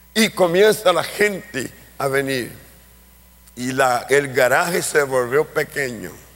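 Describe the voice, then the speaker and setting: A man's voice with very wide pitch swings amid noticeable background noise. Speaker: pastor and missionary. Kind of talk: sermon.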